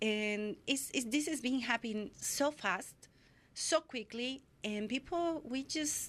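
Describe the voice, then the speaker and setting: Very slow speech with ordinary pitch variation in a Spanish accent, on a very clean recording with a silent background. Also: woman, high pitch for a woman. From Mexico City. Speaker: photographer. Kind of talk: interview. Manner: halting.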